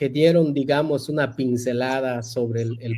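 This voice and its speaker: With a Yucatán accent, a man speaks at a medium pitch and a fairly slow pace, his tone dark and mellow and his intonation monotone and flat. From Yucatán Peninsula, Mexico (Maya-speaking jungle community). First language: Yucatec Maya (speaking Spanish). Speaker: university professor and Maya language revitalization leader. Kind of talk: interview.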